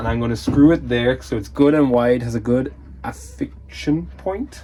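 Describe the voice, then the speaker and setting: Against noticeable background noise, a man speaks with an Irish accent. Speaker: leatherworker and DIY vlogger. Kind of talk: casual vlog. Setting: workshop. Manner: whispering.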